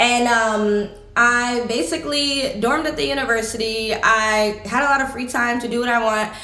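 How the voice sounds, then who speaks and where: With audible room echo and noticeable background noise, a woman speaks at a high pitch using ordinary pitch variation. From United States. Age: 20s. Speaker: travel vlogger. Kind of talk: casual chat. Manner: conversational, with many fillers.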